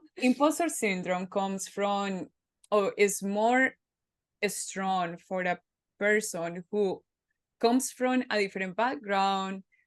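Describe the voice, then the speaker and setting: With a Spanish accent, a woman speaks at a very slow pace with long, frequent pauses, in a dry, close sound with no echo. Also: medium pitch for a woman, ordinary pitch variation. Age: 30s. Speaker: podcast host. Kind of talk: casual interview chat.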